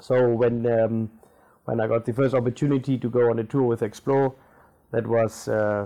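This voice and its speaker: A man speaks with a German accent at a medium pitch. His intonation stays fairly even. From Namibia. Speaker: tour guide and bookshop owner. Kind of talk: interview.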